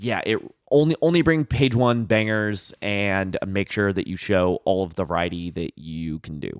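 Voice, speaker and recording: With hardly any pauses, a man speaks at a fairly low pitch in a very clean recording with a silent background and a dry, close sound with no echo. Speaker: wedding photographer and podcast co-host. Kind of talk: casual podcast chat. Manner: loud.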